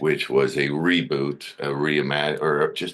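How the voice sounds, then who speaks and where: Vocal fry runs through this man's voice, and his intonation is fairly even. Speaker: actor. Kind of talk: casual interview. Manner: halting.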